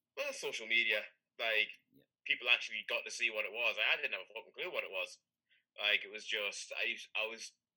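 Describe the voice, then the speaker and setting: Here a man speaks with a British accent. His pace is fairly quick. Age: 30s. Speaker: powerlifter. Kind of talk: casual chat.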